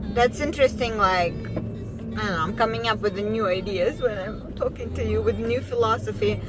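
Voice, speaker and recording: With a Russian accent, a woman talks over background music, and some room echo can be heard. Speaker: vlogger. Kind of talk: casual monologue vlog. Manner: halting, many fillers.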